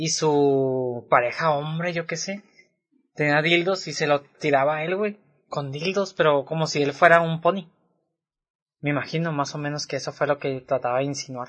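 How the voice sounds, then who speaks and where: A man speaks at a moderate pace with a fairly high pitch. His intonation stays fairly even. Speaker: podcast co-host. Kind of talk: casual chat.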